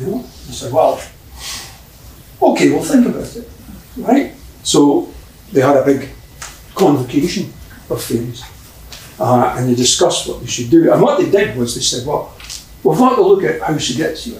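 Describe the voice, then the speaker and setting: With a Scottish accent, a man talks at a moderate pace, leaving long, frequent pauses, his loudness swinging widely over noticeable background noise. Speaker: storyteller, folklorist. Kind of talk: live folk tale storytelling to an audience. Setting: live theatre performance. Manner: lively, conversational.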